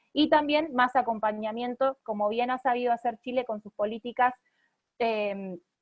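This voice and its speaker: Big swings in loudness over fairly even intonation. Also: woman, high pitch for a woman. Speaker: lawyer and pro-life activist. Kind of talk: online talk. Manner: fast.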